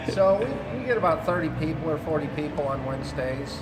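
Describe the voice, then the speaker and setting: A man with an American accent speaks at a moderate pace, his fairly high voice showing ordinary pitch variation. Noticeable background noise runs behind him. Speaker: skate park worker. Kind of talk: interview answer.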